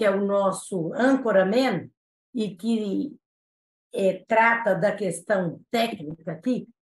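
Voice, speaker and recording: The voice is a woman's. It carries a somewhat breathy quality. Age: 60s. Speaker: state prosecutor. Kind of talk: interview. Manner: formal.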